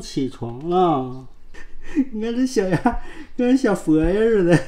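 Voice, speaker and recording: A woman speaks very slowly, her pitch swinging very widely. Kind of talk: casual talk to pets. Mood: affectionate, coaxing. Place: home room. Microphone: phone near.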